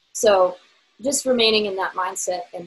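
Over music in the background, a woman speaks with an American accent. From Virginia. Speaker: singer-songwriter. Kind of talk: casual interview chat.

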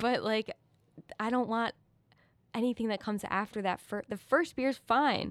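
With long, frequent pauses, a fairly high-pitched woman talks at a moderate pace in a dry, close sound with no echo. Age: 20s. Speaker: artist. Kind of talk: casual interview. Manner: hesitant, many fillers.

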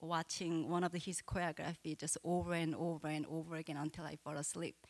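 Recorded with a dry, close sound and no echo, a woman speaks in a normal speaking voice at a fairly low pitch and moderate pace. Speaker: dancer and pastor. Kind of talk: stage introduction. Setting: church with audience.

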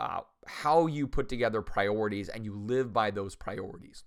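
A man with an unremarkable speaking voice talks at a moderate pace and medium pitch on a very clean recording with a silent background. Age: 50s. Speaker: pastor and podcast host. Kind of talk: solo podcast monologue. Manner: casual, conversational with filler words.

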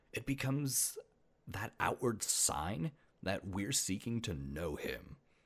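With vocal fry and very wide pitch swings, a man speaks at a very slow pace in a fairly low pitch. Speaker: podcast host. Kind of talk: scripted-style solo podcast narration, casual. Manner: casual, humorous, chatty.

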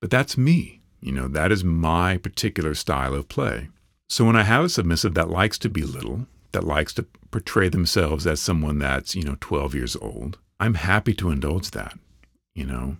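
With vocal fry and a very deep, low pitch, a man speaks at a moderate pace with lively intonation on a very clean recording, silent in the background and dry and close with no echo. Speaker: podcast host. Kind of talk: solo podcast monologue.

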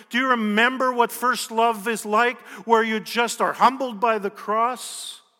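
Pitched extremely high, a man projects a raised voice in a monotone, flat delivery at a fairly slow pace. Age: 50s. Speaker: pastor, national church leader. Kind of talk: sermon.

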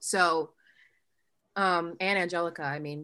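A woman with an American accent uses a normal speaking voice at medium pitch, with ordinary pitch variation, on a very clean recording with a silent background. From Ohio. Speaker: musical theatre actress. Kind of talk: casual chat.

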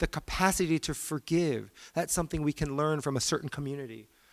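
Here is a man with a plain, everyday voice at a fairly high pitch, talking at a moderate pace. The recording is very clean, with a silent background. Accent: American. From Virginia, US. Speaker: guest speaker, academic. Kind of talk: sermon-style talk. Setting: church stage with audience.

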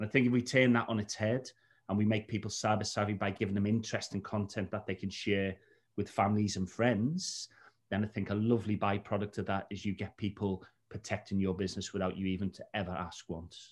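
This voice speaks at a fairly quick pace in a Liverpool accent. The intonation is monotone and flat. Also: man, fairly low pitch for a man. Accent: Scouse (Liverpool). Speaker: cybersecurity trainer. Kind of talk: casual chat. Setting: video call.

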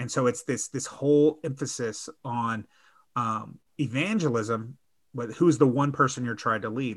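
A man at a fairly slow pace and medium pitch, with ordinary pitch variation, on a very clean recording with a silent background. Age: 40s. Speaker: church network leader and coach. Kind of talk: casual chat.

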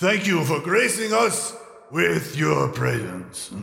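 Slight echo surrounds a man's gravelly, put-on character voice. He speaks at a high pitch and a very slow pace. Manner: formal, courteous.

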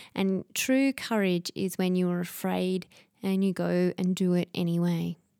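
A soft-spoken woman with a dark, mellow tone talks fairly slowly at very even loudness, the sound dry and close with no echo in a very clean recording with a silent background. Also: medium pitch for a woman, fairly even intonation. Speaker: health podcast host. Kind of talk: solo podcast monologue on self-help. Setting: studio microphone.

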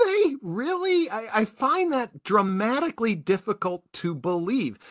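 A man with an American accent talks at a fairly slow pace, his high pitch swinging very widely. The sound is dry and close, with no echo. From US Midwest, Milwaukee. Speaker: podcast host. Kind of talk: casual chat. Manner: jokey.

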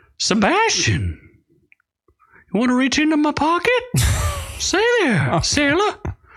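In a put-on character voice pitched high, the speaker goes at a fairly slow pace with long, frequent pauses. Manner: playful, suggestive.

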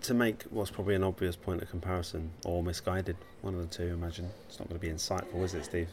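A man's very deep, low voice, soft-spoken and somewhat breathy, monotone with flat intonation, at a very fast pace. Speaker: podcast host. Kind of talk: casual chat. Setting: coffee shop in a gallery.

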